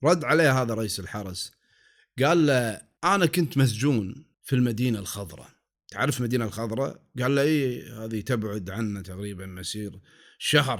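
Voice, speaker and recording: A man's medium-pitched voice with a Kuwaiti accent and lively intonation, at a moderate pace, over a very clean recording with a silent background. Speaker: storyteller. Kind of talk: folk tale narration. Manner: calm, soothing.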